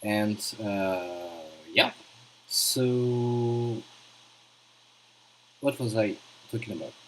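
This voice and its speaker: With a strong French accent, a man talks at a fairly low pitch and a very slow pace, leaving long, frequent pauses. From France. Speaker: gaming streamer. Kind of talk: live stream commentary. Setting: live stream. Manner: halting, many fillers.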